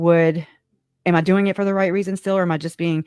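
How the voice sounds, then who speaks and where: Delivered at a very fast pace, the animated voice has a dry, close sound with no echo. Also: woman. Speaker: live-stream host, true crime commentator. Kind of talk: casual live-stream chat. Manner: halting, fractured speech; animated, emotional.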